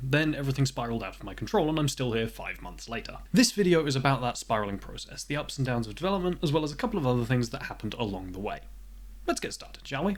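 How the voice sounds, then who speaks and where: This man has a British accent. His delivery is very fast. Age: 20s. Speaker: indie game developer. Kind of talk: devlog narration.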